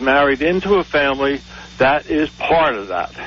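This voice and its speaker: Noticeable background noise runs under the recording. A man talks in a fairly high voice. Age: 60s. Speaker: caller. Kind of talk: call-in radio talk. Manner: halting, many fillers.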